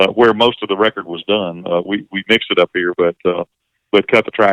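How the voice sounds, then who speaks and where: With a Southern US accent, this man talks at a moderate pace in a fairly low pitch, his intonation fairly even. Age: 60s. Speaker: singer-songwriter and session musician. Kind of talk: casual interview conversation. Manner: halting, many repeated words and fillers.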